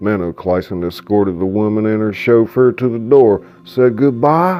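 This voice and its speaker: This man, pitched fairly low, speaks at a moderate pace while noticeable background noise runs behind him. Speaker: author reading his own novel. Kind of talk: audiobook narration.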